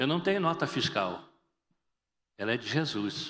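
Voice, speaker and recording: Audible room echo surrounds a man with vocal fry whose fairly high pitch swings very widely. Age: 60s. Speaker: pastor. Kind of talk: sermon. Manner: animated.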